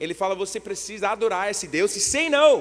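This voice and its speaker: Using lively intonation, a man speaks at a moderate pace in a high voice. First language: English (speaking Portuguese). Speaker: guest preacher. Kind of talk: sermon. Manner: halting.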